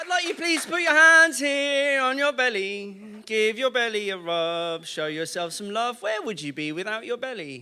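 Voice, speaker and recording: Amid noticeable background noise, a man with a high pitch speaks in a playful tone at a moderate pace, his raised, projected voice swinging very widely in pitch with hardly any pauses. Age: 40s. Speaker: spoken word poet. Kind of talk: audience warm-up at live show. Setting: live venue. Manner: playful, interactive.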